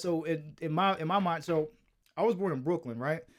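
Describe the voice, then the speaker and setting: A man with an American accent talks at a fairly quick pace in a fairly high pitch. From US South, Greensboro, North Carolina. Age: 30s. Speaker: mix engineer. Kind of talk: casual chat. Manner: halting.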